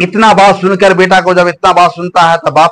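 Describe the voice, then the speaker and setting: The man speaking has a high-pitched voice. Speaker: storyteller. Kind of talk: folk story narration. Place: home room.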